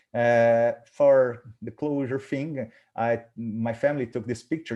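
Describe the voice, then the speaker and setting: A man with a Portuguese accent has a dark, mellow tone at a medium pitch, recorded against a quiet background. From Brazil. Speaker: professor of cardiac rehabilitation. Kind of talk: webinar presentation. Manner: halting.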